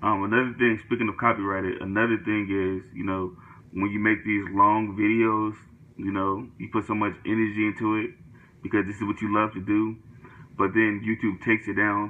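The man speaks at a fairly quick pace, in a fairly low pitch with monotone, flat intonation. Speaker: youtuber. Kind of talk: casual vlog chat. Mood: frustrated, reflective. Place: home room.

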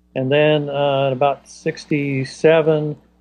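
A man talks at a medium pitch. His tone is slightly mellow.

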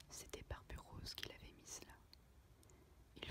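Whispering comes at a fairly slow pace over noticeable background noise. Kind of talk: read story. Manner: whispered.

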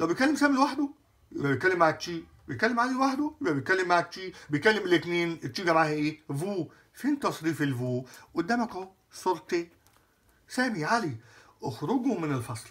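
Speaking in an Egyptian accent, a man with a high pitch makes very wide pitch swings against a quiet background. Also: moderate pace. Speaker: French teacher. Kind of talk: lecture. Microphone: phone near.

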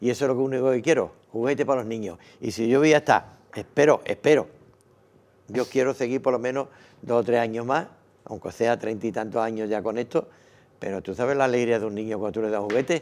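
His intonation is fairly even. The man speaks at a very fast pace. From Andalusia, Algeciras; Andalusia. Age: 80s+. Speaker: charity volunteer; interview guest. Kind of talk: interview. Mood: warm, grateful. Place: studio. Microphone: lapel.

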